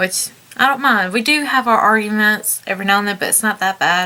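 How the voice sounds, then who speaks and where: A woman with a Southern US accent speaks at medium pitch. She moves at a fairly quick pace over noticeable background noise. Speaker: vlogger. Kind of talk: personal testimony. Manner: halting.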